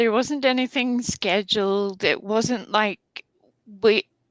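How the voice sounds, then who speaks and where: In a Northern Irish accent, a woman speaks at a fairly high pitch and a fairly slow pace with ordinary pitch variation. The background is quiet and the sound is dry and close, with no echo. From Northern Ireland.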